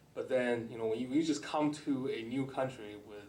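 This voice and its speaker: A man's medium-pitched voice with a Chinese accent, ordinary pitch variation and audible room echo. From China. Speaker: government employee, panelist. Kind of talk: personal story talk on panel. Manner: halting, many fillers.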